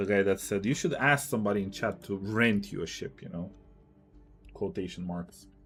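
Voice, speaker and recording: Music in the background behind a man with an American accent, fairly low pitch, ordinary pitch variation and a moderate pace. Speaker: game streamer. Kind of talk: live gaming stream chat. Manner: casual, conversational.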